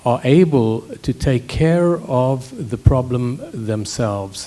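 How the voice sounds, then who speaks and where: A man's somewhat breathy voice at medium pitch, dark and mellow in tone, with ordinary pitch variation. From South Africa. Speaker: scientist. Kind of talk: panel discussion.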